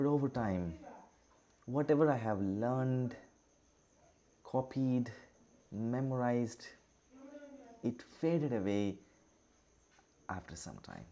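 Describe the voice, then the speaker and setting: Speaking at a very slow pace with long, frequent pauses, a man with an Indian accent has a dark, mellow tone, medium pitch, ordinary pitch variation and big swings in loudness. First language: Indian language, not English. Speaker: teacher. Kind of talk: online lecture. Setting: online class with screen share. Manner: halting, with many fillers.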